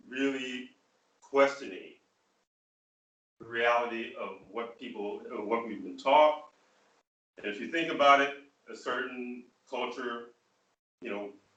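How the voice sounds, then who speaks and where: A man with an American accent and medium pitch, at a fairly slow pace with long, frequent pauses, fairly even intonation, big swings in loudness and audible room echo. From US Midwest (rural Michigan). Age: 60s. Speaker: spiritual leader. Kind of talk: online Q&A forum talk.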